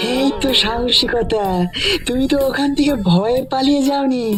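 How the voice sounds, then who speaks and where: A high-pitched cartoonish character voice at a fairly slow pace over loud background music. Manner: conspiratorial, blunt.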